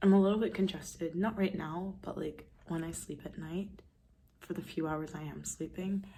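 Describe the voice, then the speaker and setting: A woman with vocal fry and a dark, mellow tone speaks at a moderate pace and a fairly low pitch, with ordinary pitch variation. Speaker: vlogger. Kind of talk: casual vlog talk. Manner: hesitant, many fillers.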